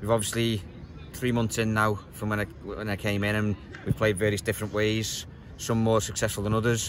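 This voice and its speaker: Monotone, flat male speech in a dry sound with no echo, over noticeable background noise. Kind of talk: interview answer. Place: stadium.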